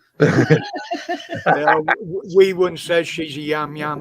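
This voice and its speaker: Noticeable background noise sits behind a man talking very slowly with a West Country accent. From West Country of England.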